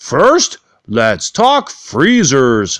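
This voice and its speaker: This is a put-on character voice. Its pitch sits at a low-to-middle level. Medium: read story. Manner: long-winded, earnest.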